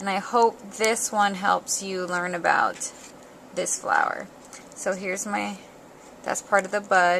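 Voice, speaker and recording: A soft-spoken woman talks at a fairly slow pace, leaving long, frequent pauses. Her tone is bright and sharp, her intonation monotone and flat. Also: medium pitch for a woman. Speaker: paper craft tutorial maker. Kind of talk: tutorial. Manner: casual, hesitant with many ums.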